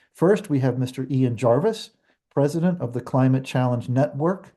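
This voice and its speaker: Somewhat breathy and dark, mellow in tone, a man speaks at medium pitch and a moderate pace with lively intonation over a quiet background. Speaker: webinar host, association president. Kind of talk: webinar moderation. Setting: video call.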